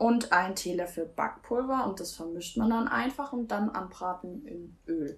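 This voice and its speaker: A woman speaks at a fairly slow pace with hardly any pauses, using a medium pitch and lively intonation. Her loudness swings widely, and there is noticeable background noise. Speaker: aspiring singer. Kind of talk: casual chat.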